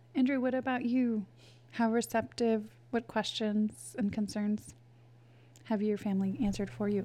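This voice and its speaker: With long, frequent pauses, a woman speaks in a fairly high, somewhat breathy voice of dark, mellow tone and ordinary pitch variation. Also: moderate pace. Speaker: interviewer, facilitator. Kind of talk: interview.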